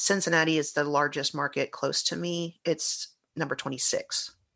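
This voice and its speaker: At a moderate pace, a woman talks over a quiet background. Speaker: guest, broadcaster and fan. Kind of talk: casual chat.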